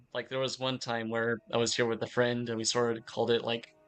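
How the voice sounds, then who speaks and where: Over background music, a man talks at a moderate pace and medium pitch. His intonation is monotone and flat. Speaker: game streamer. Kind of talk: casual gameplay stream commentary. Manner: relaxed, hesitant with fillers.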